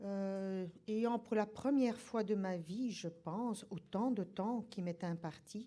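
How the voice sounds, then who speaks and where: A woman speaks at a very slow pace in a dark, mellow tone. Her pitch is medium, with ordinary variation. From Belgium. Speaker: nursing professor. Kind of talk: lecture.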